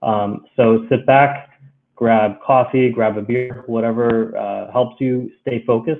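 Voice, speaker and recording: A man with an American accent has a plain, everyday voice and fairly even intonation. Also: medium pitch for a man, fairly slow pace. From United States. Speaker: cloud solutions architect. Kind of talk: technical webinar presentation. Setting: live-streamed webinar from home. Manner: many filler words (um, uh).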